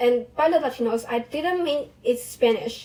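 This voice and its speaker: Her tone is dark and mellow. This woman speaks at a high pitch and a fairly slow pace. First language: Chinese (Mandarin). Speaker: vlogger, language learner. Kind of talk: casual personal monologue. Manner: halting, self-correcting.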